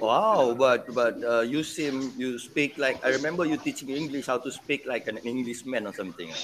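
Over noticeable background noise, a man talks at a moderate pace with hardly any pauses and ordinary pitch variation. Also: medium pitch for a man. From Penang, Malaysia. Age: 40s. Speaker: podcast host. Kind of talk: casual chat.

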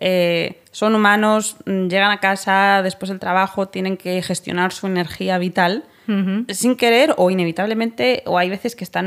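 Over a silent background on a very clean recording, a woman speaks in a plain, everyday voice at a moderate pace, her medium pitch showing ordinary variation. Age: 30s. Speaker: podcast host. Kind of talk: interview.

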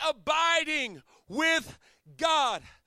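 A man with an extremely high pitch and an American accent projects his voice in a bright, sharp, animated tone. The sound is dry and close, with no echo. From Chesapeake Bay area, US. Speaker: pastor. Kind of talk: sermon.

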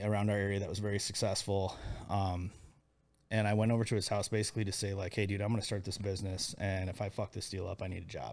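Very fast and monotone, a man with a Midwestern American accent speaks at a fairly low pitch with flat intonation. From US Midwest, Iowa. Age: 40s. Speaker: entrepreneur. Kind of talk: casual chat.

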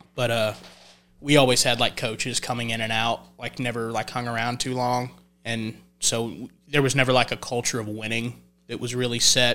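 In a Texan accent, a man speaks at a moderate pace with a medium pitch, a bright, sharp tone and monotone, flat intonation. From North Texas (Olney, Young County). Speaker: country singer-songwriter. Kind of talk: casual chat.

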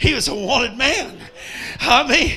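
A man speaks in a raised, projected voice with an animated tone over noticeable background noise. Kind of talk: sermon in a revival meeting, preacher in full flow. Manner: animated, rousing, call-and-response with the congregation; folksy storyteller, comic asides and jokes.

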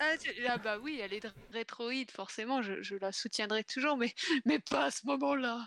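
Heard in a dry, close sound with no echo, a woman with a fairly high pitch talks at a fairly slow pace with lively intonation. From northern France, Pas-de-Calais. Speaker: guest co-host of a video game stream. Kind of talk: casual chat.

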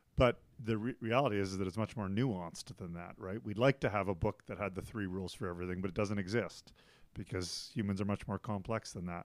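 Someone speaks at a very fast pace. The accent is Canadian. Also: man, ordinary pitch variation, very clean recording, silent background. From Canada. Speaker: school principal. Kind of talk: casual chat.

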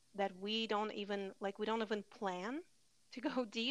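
A woman with an unremarkable speaking voice talks at a medium pitch and moderate pace, with fairly even intonation. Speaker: podcast host. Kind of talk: casual chat.

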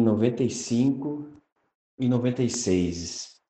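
There is audible room echo as a man speaks. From Rio Grande do Sul, Brazil. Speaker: night security guard, listener. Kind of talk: recorded personal testimony.

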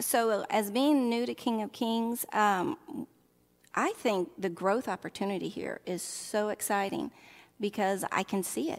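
A woman with a Southern US accent and a fairly high pitch, lively in intonation, at a fairly slow pace with long, frequent pauses, on a very clean recording with a silent background. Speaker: early childhood minister, church staff. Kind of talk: casual interview conversation.

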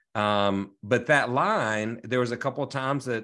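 Over a quiet background, a man talks in a plain, everyday voice. His pitch sits at a medium level with ordinary variation. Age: 40s. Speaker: residential realtor. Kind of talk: casual interview chat.

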